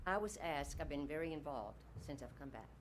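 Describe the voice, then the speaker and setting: A woman with an American accent talks at a very fast pace, and audible room echo can be heard. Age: 80s+. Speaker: public commenter. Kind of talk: public comment at board meeting.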